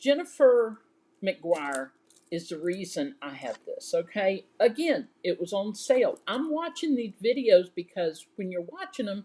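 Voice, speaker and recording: Speaking at a fairly slow pace with a Southern US accent, a woman uses a fairly high pitch with very wide pitch swings and big swings in loudness. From US South. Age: 60s. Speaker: crafting YouTuber. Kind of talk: casual live show-and-tell. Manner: chatty and animated.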